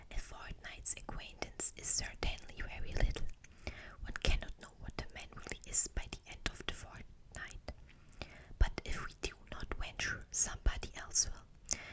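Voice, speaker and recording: Someone whispers at a moderate pace. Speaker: ASMR reader. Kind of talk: read story. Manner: whispered.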